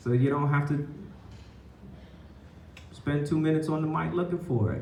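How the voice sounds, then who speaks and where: Pitched fairly high, a man speaks at a moderate pace with fairly even intonation. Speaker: poet and teaching artist. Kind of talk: workshop teaching talk. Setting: live venue with microphone and PA. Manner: casual, conversational.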